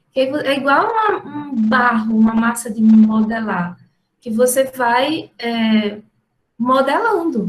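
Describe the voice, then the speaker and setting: A woman's high-pitched voice with lively intonation and a strong Ceará accent. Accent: strong Ceará (northeastern Brazil). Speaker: university professor. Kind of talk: lecture.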